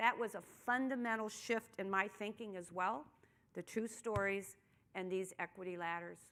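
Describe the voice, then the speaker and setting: An ordinary speaking voice from a woman with an American accent, medium pitch, ordinary pitch variation and a moderate pace. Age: 60s. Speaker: keynote speaker, nonprofit strategy consultant. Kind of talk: keynote speech. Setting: luncheon event with live audience.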